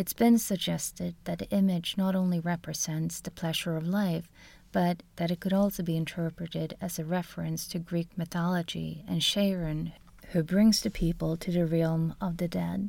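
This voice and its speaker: With a Swedish accent, a woman speaks at a moderate pace in a dark, mellow, somewhat breathy tone of fairly low pitch and fairly even intonation, on a very clean recording with a silent background. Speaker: art history lecturer, podcast co-host. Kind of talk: scripted narration. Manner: formal.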